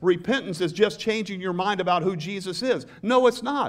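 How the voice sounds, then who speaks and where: In a Southern US accent, a man speaks at a high pitch. His pace is moderate. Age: 60s. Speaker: pastor. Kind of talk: sermon. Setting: church with congregation. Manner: earnest, preacherly, prompting congregation call-and-response; conversational, warm, with humor.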